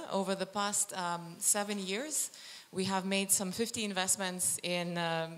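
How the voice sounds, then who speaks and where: The intonation stays fairly even. Audible room echo surrounds the voice. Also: woman. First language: not French (speaking French). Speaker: climate fund policy lead. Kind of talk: panel presentation. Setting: stage with audience. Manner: halting.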